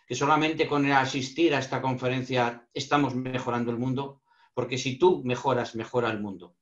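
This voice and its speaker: This is an ordinary speaking voice, moving along at a moderate pace. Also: man. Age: 60s. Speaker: lecturer on emotional intelligence. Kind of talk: online panel talk.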